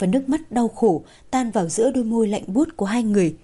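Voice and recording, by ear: The pitch varies in an ordinary way. The passage is read aloud in a natural voice.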